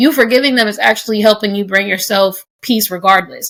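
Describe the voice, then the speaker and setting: Speaking at a fairly quick pace, a woman with an American accent uses an unremarkable speaking voice, a medium pitch and fairly even intonation. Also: very clean recording, silent background. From United States. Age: 20s. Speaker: podcast host. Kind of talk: casual podcast conversation. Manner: conversational, casual.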